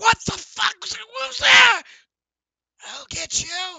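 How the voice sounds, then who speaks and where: Extremely high-pitched, a put-on character voice at a fairly slow pace. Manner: angry, shouting threats.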